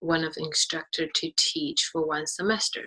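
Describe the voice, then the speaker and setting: A woman with a Chinese accent, fairly low pitch and moderate pace. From China. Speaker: graduate teaching assistant. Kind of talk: interview.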